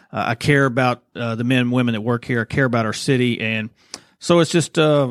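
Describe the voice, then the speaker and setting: A man speaks at a medium pitch with a Southern US accent. His intonation stays fairly even, and the sound is dry and close with no echo. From Arkansas, Little Rock. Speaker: police chief. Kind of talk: interview.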